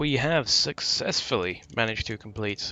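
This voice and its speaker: With a plain, everyday voice, a man speaks at a fairly slow pace and ordinary pitch variation. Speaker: gaming video creator. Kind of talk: let's play commentary.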